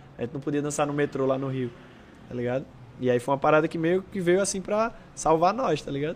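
Speaking at a very fast pace, a man has a fairly high pitch. His pitch varies in an ordinary way. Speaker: breakdancer. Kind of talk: casual chat.

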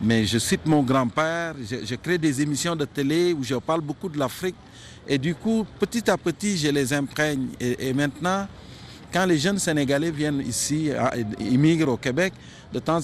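With an ordinary speaking voice, a man talks at a moderate pace in a fairly high pitch with ordinary pitch variation. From Senegal. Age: 50s. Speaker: media creator and cultural figure. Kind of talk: interview.

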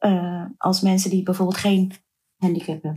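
A woman speaks in a somewhat breathy voice. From Netherlands, Surinamese Hindustani family. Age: 30s. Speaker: activist and writer. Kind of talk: interview.

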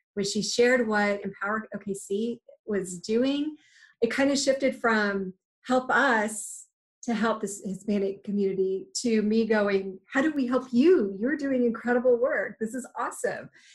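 A woman's somewhat breathy voice at a fairly high pitch, with ordinary pitch variation, a moderate pace and a quiet background. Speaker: nonprofit co-host. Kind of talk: casual interview.

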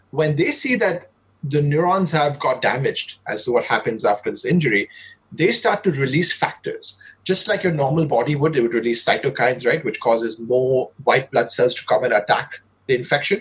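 Somewhat breathy, a man with a fairly high pitch talks at a moderate pace with lively intonation. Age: 30s. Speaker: neuroscientist and biology professor. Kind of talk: lecture; casual chat.

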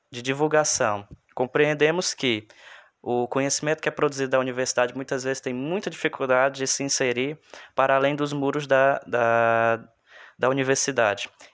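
In a very clean recording over a silent background, a man with an ordinary speaking voice talks at a moderate pace, his fairly high pitch held in fairly even intonation. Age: 20s. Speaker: history graduate, podcast co-host. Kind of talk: podcast introduction. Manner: formal.

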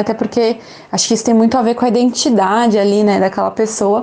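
Noticeable background noise behind a woman speaking fairly high. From São Paulo, Brazil. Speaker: English teacher and mother of a child with a rare condition. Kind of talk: interview testimony.

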